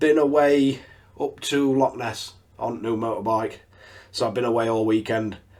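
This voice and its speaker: A man with a northern English accent, a medium pitch and a moderate pace. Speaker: RC hobby YouTuber. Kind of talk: tutorial. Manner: casual.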